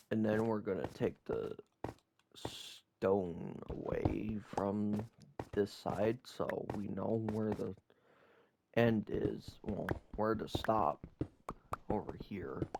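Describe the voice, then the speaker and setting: A man with a fairly low voice talks very slowly and quietly, with ordinary pitch variation and long, frequent pauses. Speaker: gaming YouTuber. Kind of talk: gameplay commentary. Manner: quiet, sparse talk.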